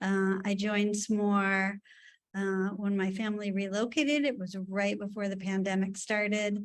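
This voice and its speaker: Speaking with a New York accent, a woman keeps a medium pitch and fairly even intonation at a fairly slow pace. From New York City area. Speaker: education presenter, former teacher and principal. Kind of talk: webinar presentation. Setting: video call webinar.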